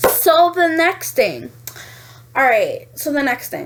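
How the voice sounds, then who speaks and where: A woman speaks with a New York accent. Her tone is animated. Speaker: vlogger. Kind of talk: casual vlog monologue.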